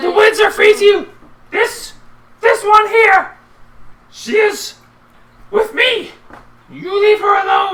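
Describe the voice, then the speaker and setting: A put-on character voice speaks at an extremely high pitch. The pace is fairly slow, with long, frequent pauses. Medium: actual play. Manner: swings from pompous to offhand.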